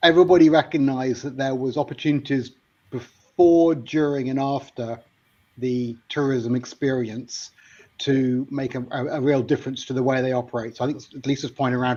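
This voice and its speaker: A man talks in a dark, mellow tone at a medium pitch. His pace is moderate. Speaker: tourism technology researcher. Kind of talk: podcast discussion.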